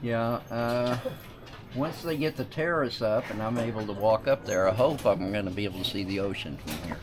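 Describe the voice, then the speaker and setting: Over noticeable background noise, a man at medium pitch speaks at a moderate pace with lively intonation. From US South, North Carolina. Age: 70s. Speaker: retired military veteran. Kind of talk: casual interview on a house tour.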